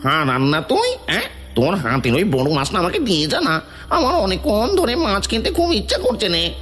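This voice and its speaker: A cartoonish character voice moves at a moderate pace over clear background noise. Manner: blustering, rough, uses rude "tui" address.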